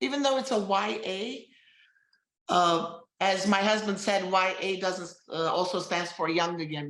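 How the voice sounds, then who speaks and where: Speaking at a fairly slow pace, a woman talks in an Armenian accent. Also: medium pitch for a woman, ordinary pitch variation. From Armenian heritage. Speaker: novelist. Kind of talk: interview. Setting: live stream. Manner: halting.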